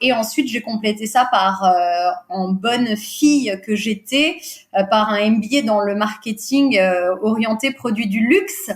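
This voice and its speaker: Very slow, somewhat breathy speech from a woman, fairly high in pitch, with ordinary pitch variation. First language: Portuguese (speaking French). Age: 40s. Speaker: recruiter and business owner. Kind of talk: podcast interview. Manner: hesitant, many fillers.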